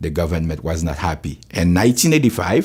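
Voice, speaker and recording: Over noticeable background noise, a man with a Haitian accent speaks with lively intonation. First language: Haitian Creole. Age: 60s. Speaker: pastor. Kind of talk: testimony.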